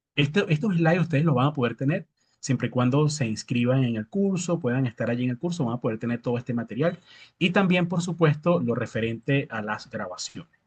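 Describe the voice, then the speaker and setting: A man speaks at a fairly quick pace with a fairly high pitch and lively intonation, somewhat breathy. The sound is dry and close with no echo, over a quiet background. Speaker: agronomy instructor. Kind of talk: lecture with live Q&A. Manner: fast.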